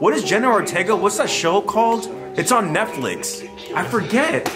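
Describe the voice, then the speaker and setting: A man speaks over clear music playing in the background. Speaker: vlogger. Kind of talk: casual vlog chat. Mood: mock fear, playful.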